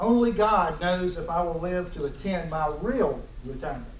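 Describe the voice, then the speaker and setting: A man's high-pitched voice with an American accent, ordinary pitch variation, audible room echo and noticeable background noise. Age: 60s. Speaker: judge. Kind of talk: formal speech. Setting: ceremony with audience. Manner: hard to understand at times.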